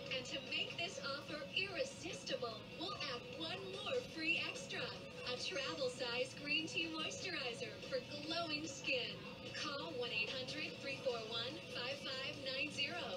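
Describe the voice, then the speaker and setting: Loud music plays in the background as a woman talks at a fairly slow pace. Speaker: commercial announcer. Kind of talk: advertising voice-over. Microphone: old recording.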